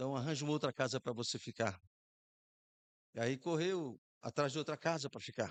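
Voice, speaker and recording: Against a quiet background, a man with a fairly high voice talks at a fairly quick pace with long, frequent pauses, ordinary pitch variation, and a dry, close sound with no echo. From Brazil, Rio Grande do Norte (Macau). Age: 60s. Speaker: pastor. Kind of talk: sermon.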